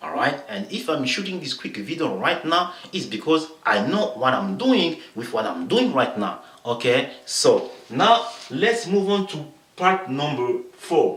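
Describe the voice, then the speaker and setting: A man with a French accent speaks at a fairly slow pace, his fairly high pitch making very wide swings. Noticeable background noise and audible room echo are present. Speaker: motivational vlogger. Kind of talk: motivational talk to camera. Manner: halting, many fillers.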